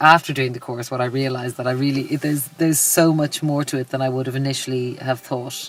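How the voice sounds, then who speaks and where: A woman speaks at a fairly quick pace in a very deep, low voice. Her intonation is flat and monotone. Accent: Dublin. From Ireland, Dublin. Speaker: life coach and yoga instructor. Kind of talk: interview testimonial. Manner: halting, many fillers and repetitions.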